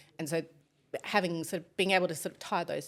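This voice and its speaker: Very fast, fairly low-pitched speech from a woman with a slight South African accent, on a very clean recording with a silent background. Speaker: business executive. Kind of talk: podcast interview.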